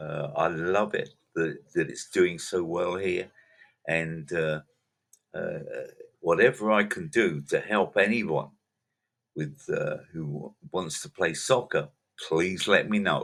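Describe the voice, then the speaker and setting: A man speaks at a very slow pace, with long, frequent pauses and big swings in loudness. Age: 80s+. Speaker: podcast host and soccer coach. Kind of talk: casual monologue. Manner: halting, many fillers.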